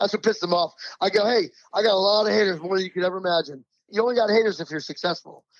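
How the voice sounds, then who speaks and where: Speaking with an American accent, a man has a high pitch and an animated tone. He talks at a very fast pace with ordinary pitch variation. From New Jersey Shore. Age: 60s. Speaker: pro surfer. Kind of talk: podcast interview.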